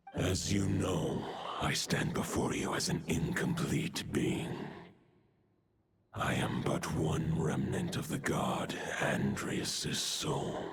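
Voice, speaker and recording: A man puts on a character voice, speaking at a very slow pace with a very deep, low pitch. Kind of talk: video game voice acting. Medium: video game. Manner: archaic, solemn.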